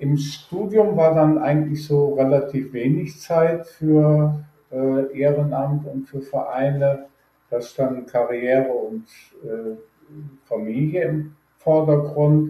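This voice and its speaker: A man's fairly high, somewhat breathy voice with a dark, mellow tone, fairly even intonation and a very slow pace. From Germany, Rhineland (Düsseldorf, Neuss). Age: 60s. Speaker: data protection expert. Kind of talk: interview.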